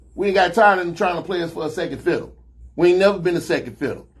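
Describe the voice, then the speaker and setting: A high-pitched man with an American accent. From Chicago. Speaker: talk show host. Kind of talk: casual chat.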